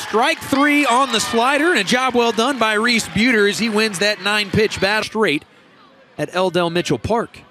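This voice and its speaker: A man projects a raised voice at high pitch with lively intonation. His loudness stays very even over noticeable background noise. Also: moderate pace. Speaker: color commentator. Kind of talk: live baseball color commentary, analyzing pitches. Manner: measured, analytical, conversational.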